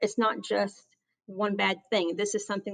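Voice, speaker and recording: A woman with an American accent speaks at a medium pitch. Her voice shows vocal fry. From US South. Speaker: aviation safety chief. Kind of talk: interview. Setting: podcast. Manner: earnest, passionate.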